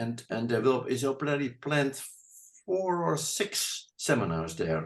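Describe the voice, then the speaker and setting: A man of medium pitch talks at a fairly slow pace, his voice making very wide pitch swings. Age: 70s. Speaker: therapist. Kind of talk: interview answer.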